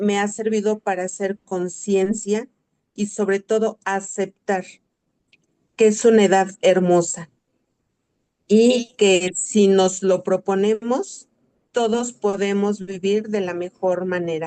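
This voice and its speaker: A woman of medium pitch, her tone dark and mellow, speaks very slowly in a monotone, flat way with long, frequent pauses, the sound dry and close with no echo. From Mexico, Ecatepec, State of Mexico. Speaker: retired school worker, participant. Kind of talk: audience testimony in online masterclass.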